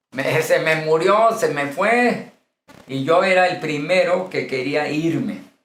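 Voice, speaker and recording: A man's high-pitched voice at a very slow pace, with ordinary pitch variation and audible room echo. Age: 60s. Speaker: pastor. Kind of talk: lecture.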